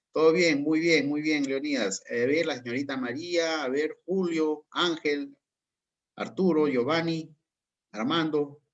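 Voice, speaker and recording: A man has a normal speaking voice at a fairly high pitch. He speaks at a fairly slow pace. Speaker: course instructor. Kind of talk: online class Q&A.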